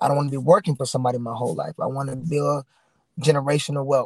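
A man's ordinary speaking voice, fairly high in pitch, with fairly even intonation and a dry, close sound with no echo. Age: 30s. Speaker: boxer. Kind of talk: interview.

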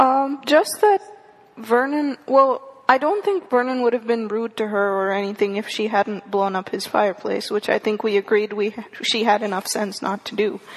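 A woman speaks at a fairly high pitch with ordinary pitch variation. Noticeable background noise can be heard. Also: moderate pace. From India. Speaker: college student and podcast listener. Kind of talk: casual chat.

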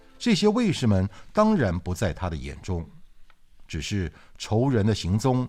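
A fairly slow, fairly low-pitched male voice with very wide pitch swings on a very clean recording with a silent background. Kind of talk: wuxia audiobook narration. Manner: steady, measured storyteller's pace; dramatic, with suspenseful emphasis; formal, literary, fluent narration.

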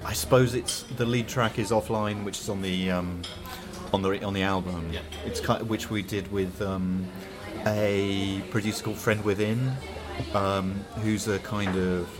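Through noticeable background noise and audible room echo, a man with a southern English accent talks at a fairly slow pace with a fairly low pitch. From Hertfordshire, southern England. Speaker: band drummer. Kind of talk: casual interview chat. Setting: coffee shop at a festival. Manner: hesitant, many fillers.

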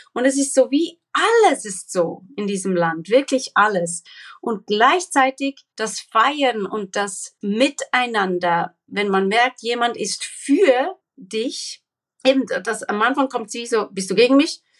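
Speaking at a very slow pace, a woman with a fairly high pitch has lively intonation. The sound is dry and close, with no echo. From Papua New Guinea, Swiss family. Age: 40s. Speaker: social entrepreneur against human trafficking. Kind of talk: interview. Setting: remote call from Israel.

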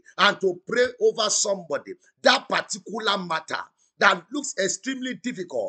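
A man raises and projects his bright, sharp, high-pitched voice. He keeps a moderate pace. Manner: rhythmic, repetitive and insistent, rising with intensity as he decrees blessings; loud, exclamatory and exhorting, urging the audience to shout back.

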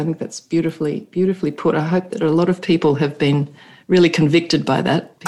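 This woman talks fairly quickly in an Australian accent, her pitch fairly low. Her tone is dark and mellow, with fairly even intonation. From Sydney, Australia. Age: 50s. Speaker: neuropsychologist and leadership coach. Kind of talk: podcast interview.

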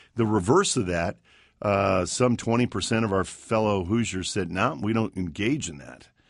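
A man with a fairly low pitch and ordinary pitch variation talks at a moderate pace, his loudness swinging widely against a quiet background. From US (army family, moved often). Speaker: attorney and civic nonprofit founder. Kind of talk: interview. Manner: halting.

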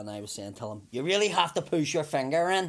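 With a Belfast accent, the speaker talks at a fairly quick pace and lively intonation in a very clean recording with a silent background. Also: man. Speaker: comedian. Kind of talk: casual chat.

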